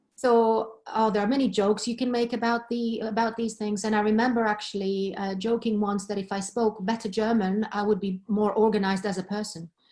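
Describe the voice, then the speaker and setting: With fairly even intonation, a woman's somewhat breathy voice sits at a fairly high pitch. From Greece, Thessaloniki. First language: Greek. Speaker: professor. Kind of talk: webinar discussion.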